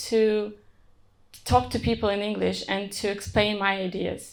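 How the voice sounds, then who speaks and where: On a very clean recording with a silent background, a woman with a non-native accent speaks at a moderate pace. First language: not English. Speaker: software engineer. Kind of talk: conference talk.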